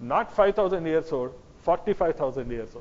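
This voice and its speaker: In a Kannada accent, this speaker talks at a moderate pace with lively intonation. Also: man. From South India (Karnataka). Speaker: lecturer on history and genetics. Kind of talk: lecture. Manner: halting, with self-corrections.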